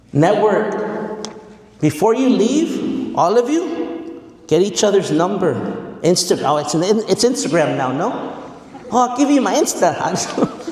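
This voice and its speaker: A man with a high pitch talks in an animated tone with very wide pitch swings, amid noticeable background noise and audible room echo. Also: fairly slow pace. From Mexicali, Mexico and central coast California. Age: 40s. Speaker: motivational speaker, educator. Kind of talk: motivational speech.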